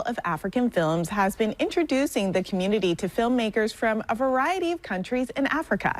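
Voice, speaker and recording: At a fairly quick pace, a woman speaks in a fairly high pitch with very wide pitch swings. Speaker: TV news reporter. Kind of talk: TV news report narration.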